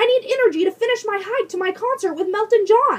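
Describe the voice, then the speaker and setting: A woman's squeaky put-on character voice, extremely high-pitched, at a very fast pace. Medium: read story.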